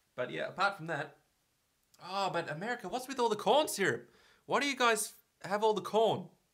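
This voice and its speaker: A man with an Australian accent talks at a fairly quick pace and a high pitch, broken by long, frequent pauses. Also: lively intonation. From Australia, Victoria. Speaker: vlogger. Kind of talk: casual vlog talk.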